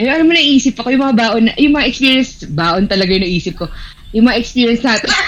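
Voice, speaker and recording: A woman's fairly high voice moves at a fairly quick pace with very wide pitch swings, over noticeable background noise. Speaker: podcast co-host. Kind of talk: casual chat.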